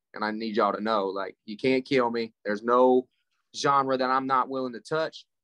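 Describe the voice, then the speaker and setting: A man speaks at medium pitch and a moderate pace with fairly even intonation. His tone is bright and sharp, and the sound is dry and close with no echo. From Appalachia. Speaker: rapper. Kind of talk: interview. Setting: studio.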